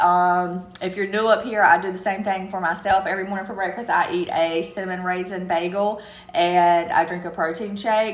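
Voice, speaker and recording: A woman's medium-pitched voice at a fairly quick pace, with hardly any pauses, fairly even intonation and audible room echo. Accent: strong Southern US. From US South, eastern North Carolina. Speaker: live streamer. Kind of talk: casual chat. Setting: TikTok live stream.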